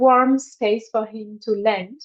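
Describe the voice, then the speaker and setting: A woman speaks with a non-native accent in a fairly high voice. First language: not English. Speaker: women's health workshop facilitator. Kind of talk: online workshop talk. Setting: online video workshop. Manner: halting, with many fillers.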